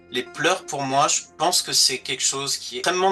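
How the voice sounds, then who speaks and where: A man's fairly high voice with ordinary pitch variation, music in the background. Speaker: voice actor and dubbing director. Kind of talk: interview answer.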